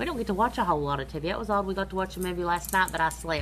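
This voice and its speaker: Noticeable background noise beneath speech in an American accent. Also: woman. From US South, near Charleston West Virginia. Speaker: livestream host. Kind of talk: casual chat. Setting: home livestream.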